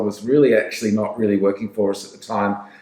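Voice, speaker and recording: In an Australian accent, the speaker rattles off words extremely quickly. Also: man. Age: 60s. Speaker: sales trainer. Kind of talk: podcast interview. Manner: casual, with frequent fillers.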